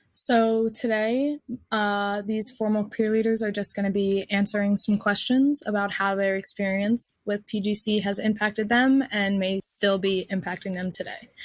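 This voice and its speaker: Using an ordinary speaking voice, a woman with an American accent talks at a moderate pace and medium pitch, with fairly even intonation and hardly any pauses. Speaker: panel moderator, college student. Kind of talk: panel moderation.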